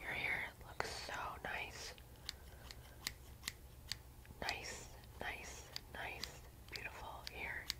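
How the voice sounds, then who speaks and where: A soft-spoken woman whispers at a very slow pace, leaving long, frequent pauses. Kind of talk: ASMR roleplay talk to viewer. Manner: soft close ASMR whisper. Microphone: phone near.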